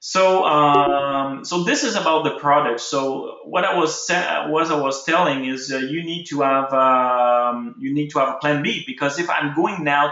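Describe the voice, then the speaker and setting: Audible room echo surrounds a man whose fairly high voice moves at a moderate pace with ordinary pitch variation. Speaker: ecommerce webinar host. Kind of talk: live webinar tutorial. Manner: halting, many fillers and restarts.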